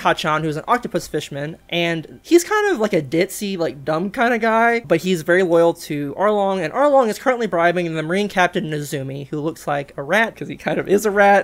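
With lively intonation and hardly any pauses, a woman talks at a fairly quick pace. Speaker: manga discussion host. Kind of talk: casual commentary recap. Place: home room.

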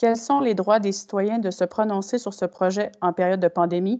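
A woman's medium-pitched voice, dark and mellow in tone, with fairly even intonation against a quiet background. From Quebec. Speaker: municipal clerk and legal adviser. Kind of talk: reading out questions and formal procedure. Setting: video conference. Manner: formal. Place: home room. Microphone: video call.

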